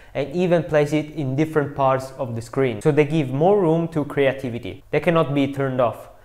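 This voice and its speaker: A fairly high-pitched man speaks with an Italian accent. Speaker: video translator and YouTuber. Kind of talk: tutorial.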